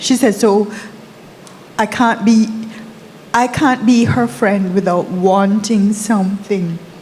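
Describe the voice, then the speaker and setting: At a very slow pace, a woman with a fairly high pitch and fairly even intonation speaks amid audible room echo and noticeable background noise. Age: 60s. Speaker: audience member asking a question. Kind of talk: audience question at a conference. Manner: hesitant, with fillers.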